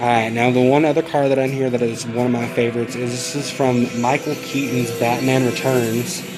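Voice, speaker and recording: Over music in the background, a man with an American accent talks at a fairly quick pace with hardly any pauses, in a medium-pitched, monotone, flat voice. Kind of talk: casual vlog talk to camera.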